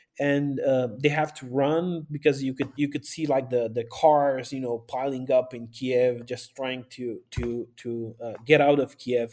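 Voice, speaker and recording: A man with a Romanian accent speaks at a medium pitch in a dark, mellow tone. His delivery is monotone and flat, fairly slow, with hardly any pauses. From northern Romania, Maramureș. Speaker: pastor and aid volunteer. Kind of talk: interview.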